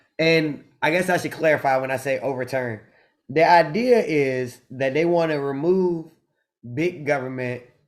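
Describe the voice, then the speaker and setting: A man speaks at a moderate pace with a Southern US accent. His pitch is fairly high, with ordinary variation. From US South. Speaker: podcast co-host. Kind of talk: casual chat.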